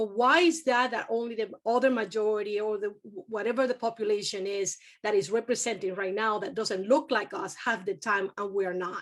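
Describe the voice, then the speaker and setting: Against a quiet background, a woman with a Spanish accent speaks with hardly any pauses. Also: fairly high pitch for a woman, ordinary pitch variation, moderate pace. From Venezuela. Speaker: university community engagement director. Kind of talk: panel discussion.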